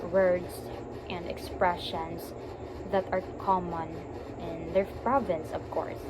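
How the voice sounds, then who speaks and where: A woman speaks in a Visayan Filipino accent at a medium pitch. Audible room echo and noticeable background noise surround her voice. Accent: Filipino (Cebuano) English. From Philippines, Cebu. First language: Cebuano. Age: 20s. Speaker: teacher and graduate student. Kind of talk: recorded class presentation. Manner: halting, with fillers and restarts.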